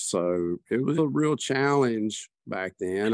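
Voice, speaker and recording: Speaking with a Southern US accent, a man with a fairly low voice is heard in a dry, close recording with no echo. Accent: Southern US, noticeable. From US South. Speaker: guest sharing personal experience. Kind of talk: casual conversational interview.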